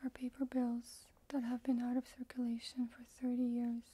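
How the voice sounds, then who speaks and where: The voice is soft-spoken, with a dark, mellow tone. Its intonation is monotone and flat. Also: woman. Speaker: ASMR role-play forensic instructor. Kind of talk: ASMR forensic tutorial narration. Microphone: studio mic.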